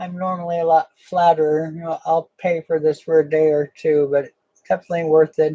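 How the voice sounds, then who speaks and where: The talking moves at a fairly quick pace with hardly any pauses. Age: 60s. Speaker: coin collector streamer. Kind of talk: live stream chat. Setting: live stream with webcam. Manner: casual, hesitant with fillers.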